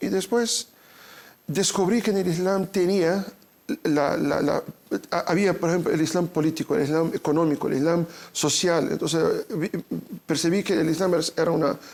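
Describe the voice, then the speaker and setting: At a moderate pace, a man talks in a high pitch with ordinary pitch variation and very even loudness, leaving long, frequent pauses. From Brazil. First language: Portuguese (speaking Spanish). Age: 40s. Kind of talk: interview. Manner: halting, repeats words.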